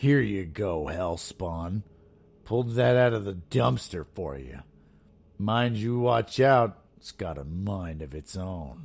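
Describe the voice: In a put-on character voice, a man speaks very deep and low with a gravelly edge at a fairly slow pace, in a very clean recording with a silent background.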